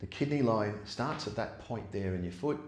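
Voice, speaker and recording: A somewhat breathy man with a fairly low pitch at a fairly quick pace, amid audible room echo. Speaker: yoga teacher. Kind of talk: guided yoga class. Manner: gets quieter as practice goes on.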